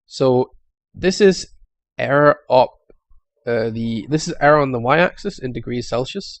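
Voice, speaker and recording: At a moderate pace, a man with a Danish accent speaks with lively intonation. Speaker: YouTube tech explainer. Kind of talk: tutorial. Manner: halting, with fillers.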